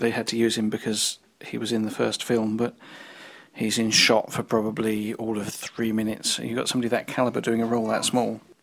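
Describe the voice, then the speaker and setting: A very fast pace amid noticeable background noise. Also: man. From London, England. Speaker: listener who sends in a comment. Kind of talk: recorded listener comment. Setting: recorded message.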